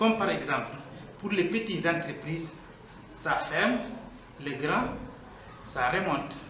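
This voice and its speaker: Speaking at a fairly slow pace with long, frequent pauses, a man with a high pitch and lively intonation is heard over noticeable background noise and audible room echo. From Guinea. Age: 40s. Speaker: workshop participant. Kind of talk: testimony.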